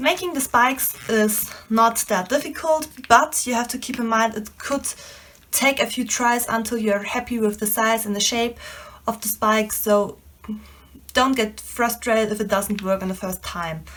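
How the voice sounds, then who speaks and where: A woman with a non-native accent, fairly high in pitch, at a moderate pace with ordinary pitch variation. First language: not English. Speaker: DIY crafter. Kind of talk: tutorial.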